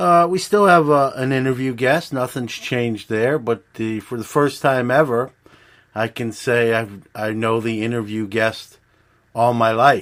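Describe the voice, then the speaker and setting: In a very clean recording with a silent background, a man with an unremarkable speaking voice talks at a fairly slow pace, with medium pitch and ordinary pitch variation. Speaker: podcast host. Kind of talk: podcast intro and ad read.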